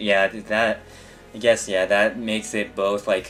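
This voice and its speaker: With music in the background, a man with an American accent speaks at a moderate pace in a fairly low pitch. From United States, Japanese parents. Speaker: gaming streamer. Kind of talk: casual chat while gaming livestream. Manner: halting, many fillers and restarts.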